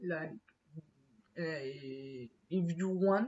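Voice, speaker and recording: The speaker is a man with a high pitch. He talks with a Spanish accent. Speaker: English learner. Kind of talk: exam practice monologue. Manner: halting, many fillers.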